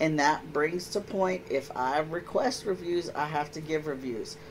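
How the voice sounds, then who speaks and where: The speaker has an American accent and a moderate pace. Noticeable background noise runs underneath. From Texas Panhandle. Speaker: podcast co-host. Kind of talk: casual chat. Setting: live stream. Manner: animated.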